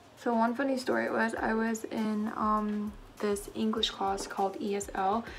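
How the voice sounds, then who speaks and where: With audible room echo and noticeable background noise, a woman talks at a medium pitch with fairly even intonation. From southern Philippines, moved to US at seven. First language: Cebuano. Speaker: beauty vlogger. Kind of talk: casual get-ready-with-me chat. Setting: at home. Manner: chatty, filler-heavy.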